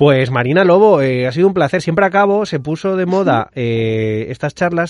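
A man speaks in a Madrid accent. His intonation is lively. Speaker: podcast host. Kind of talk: casual chat; scripted intro.

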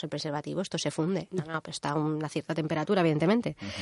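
Words come out very fast. The melody of the speech is fairly even. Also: woman. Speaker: radio co-host, engineer. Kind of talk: casual chat. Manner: prone to laughing.

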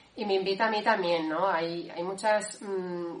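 A woman's medium-pitched voice at a moderate pace, ordinary pitch variation, and noticeable background noise. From Valencia, Spain. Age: 30s. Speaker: discipleship school participant. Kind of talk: personal testimony.

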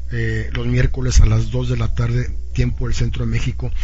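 There is audible room echo and noticeable background noise as a man with a very deep, low pitch talks at a moderate pace. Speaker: radio host. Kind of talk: live radio interview.

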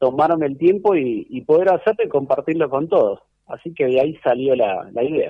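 Here a man with a normal speaking voice talks at a moderate pace, with a fairly high pitch and lively intonation. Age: 30s. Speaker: club historian. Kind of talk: radio interview. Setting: at home.

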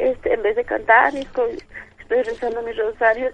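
This woman's voice sits high, and her intonation is lively. She talks at a moderate pace. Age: 50s. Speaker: radio caller, blind listener. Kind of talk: phone-in testimony.

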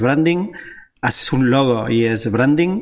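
A man talks at a moderate pace. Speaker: podcast host and designer. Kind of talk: casual interview. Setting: video call. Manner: hesitant, filler-heavy.

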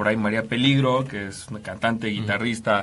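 The speaker is a man. He talks with a Mexican accent. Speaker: radio host. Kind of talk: casual chat.

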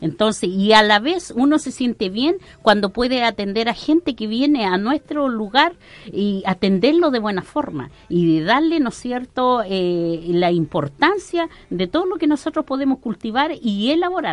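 Against noticeable background noise, a woman with a fairly high pitch talks at a fairly slow pace with hardly any pauses and very wide pitch swings. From Arauco, Biobío, Chile. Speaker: local entrepreneur, Mapuche community member. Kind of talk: radio interview.

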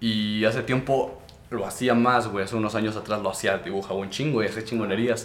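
A man speaks at a medium pitch with fairly even intonation. His pace is fairly quick, and room echo is audible. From Mexico, Durango. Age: young. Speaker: podcast host and rapper. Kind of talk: casual chat. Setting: hot small room.

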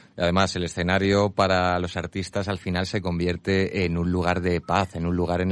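Over a quiet background, a man with a very deep, low pitch talks at a moderate pace in a flat monotone. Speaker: radio host. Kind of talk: radio interview.

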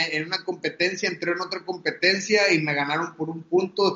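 This man speaks at a high pitch. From Mexico, Monterrey. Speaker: professional MMA fighter. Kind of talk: interview.

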